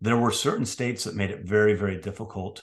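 Against a quiet background, a man with a plain, everyday voice and a General American accent talks at a fairly quick pace, with fairly low pitch and fairly even intonation. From US West Coast, San Francisco. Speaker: retired military officer and professor. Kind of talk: interview conversation.

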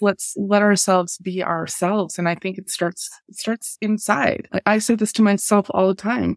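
A woman with an unremarkable speaking voice talks at a moderate pace with hardly any pauses, fairly even intonation and big swings in loudness, in a dry, close sound with no echo. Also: medium pitch for a woman. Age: 40s. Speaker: cultural anthropologist and business mentor. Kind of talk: interview conversation.

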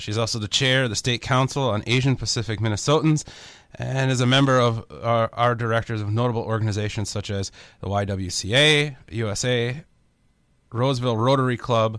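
The delivery comes at a fairly quick pace with fairly even intonation. It is a very clean recording with a silent background. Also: man. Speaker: radio co-host and tech executive. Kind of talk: radio talk show. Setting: radio studio. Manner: halting.

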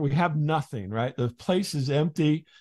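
A man with an ordinary speaking voice talks at a fairly slow pace, his pitch fairly high and his intonation lively, over a quiet background. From US Midwest. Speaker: comedy podcast host. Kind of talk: casual interview chat.

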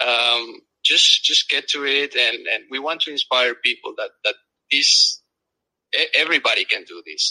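A man talks at a fairly slow pace in a South American Spanish accent. The sound is dry and close, with no echo. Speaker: engineer and travel blogger. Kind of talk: casual interview.

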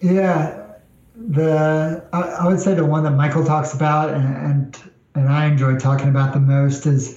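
With an American accent and a fairly high pitch, a man speaks at a fairly slow pace and fairly even intonation, amid noticeable background noise and audible room echo. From New York. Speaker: executive assistant. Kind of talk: interview.

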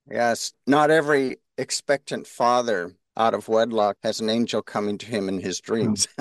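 Recorded with a dry, close sound, no echo and a quiet background, a normal speaking voice moves at a moderate pace with ordinary pitch variation and hardly any pauses. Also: man, medium pitch for a man. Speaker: podcast co-host, organization president.

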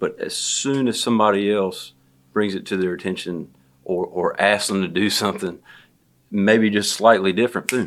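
On a very clean recording with a silent background, the speaker has a Southern US accent. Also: man. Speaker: construction estimator, guest. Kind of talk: casual interview conversation.

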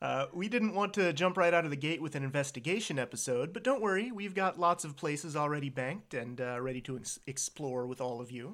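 Here is an ordinary speaking voice: a man with an American accent, fairly high-pitched, moving at a fairly quick pace with hardly any pauses. His intonation is lively, and the recording is very clean with a silent background. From US, Virginia. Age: 30s. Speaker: podcast co-host. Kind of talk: casual chat.

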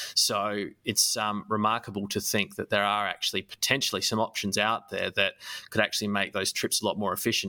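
A man with an Australian accent talks at a fairly quick pace in a bright, sharp tone with a fairly low pitch. The recording is very clean with a silent background, dry and close with no echo. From Australia, Adelaide. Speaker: podcast host. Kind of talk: casual chat.

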